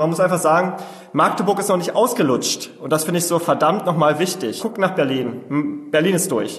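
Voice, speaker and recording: With noticeable background noise behind him, a man speaks at a high pitch with ordinary pitch variation. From Saxony-Anhalt, Germany (Osterburg, Altmark). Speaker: startup founder. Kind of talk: interview. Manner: very fast.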